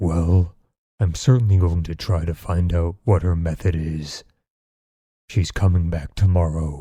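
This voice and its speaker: In a very clean recording with a silent background, a man uses a soft-spoken put-on character voice, very deep and low in pitch, at a moderate pace. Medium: read story. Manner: dreary monotone, complaining.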